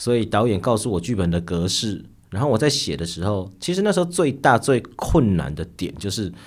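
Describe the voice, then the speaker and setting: Quick-paced speech comes from a man with a fairly low pitch. His pitch swings very widely. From Taiwan, Nantou. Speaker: novelist and high school teacher. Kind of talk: interview conversation.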